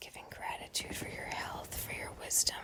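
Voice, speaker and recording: A calm whisper at a moderate pace. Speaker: prayer ASMR channel host. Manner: whispered, soft, calm.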